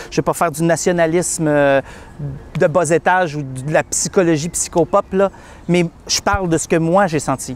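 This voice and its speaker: A moderate pace with long, frequent pauses, in a dry, close sound with no echo. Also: man, high pitch for a man. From Quebec. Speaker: client of a matchmaking agency giving a testimonial. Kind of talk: testimony. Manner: halting, many repetitions.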